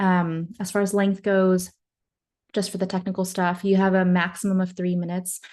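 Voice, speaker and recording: A woman speaks at medium pitch with a dark, mellow tone and a monotone, flat intonation. She moves at a fairly quick pace against a quiet background. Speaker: social media marketing consultant. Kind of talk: webinar presentation. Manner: fast.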